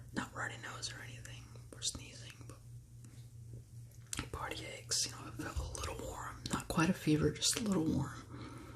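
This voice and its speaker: Amid noticeable background noise, a man talks at a moderate pace with hardly any pauses and big swings in loudness. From California, USA. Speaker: ASMR creator. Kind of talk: ASMR whispered talk to camera. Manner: whispered, calming.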